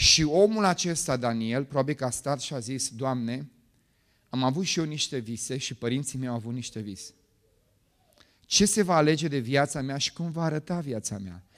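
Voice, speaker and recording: A man's animated tone and lively intonation, fairly high pitch, moderate pace, quiet background. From Romania, Bucharest. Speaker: pastor. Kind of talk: sermon. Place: church. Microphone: handheld.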